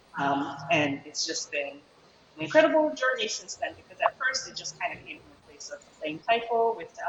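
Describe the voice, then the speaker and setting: Over noticeable background noise, a woman talks in a Chicago accent at a fairly quick pace. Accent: Chicago American English. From US Midwest, Chicago. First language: Japanese. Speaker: taiko musician. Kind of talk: panel interview.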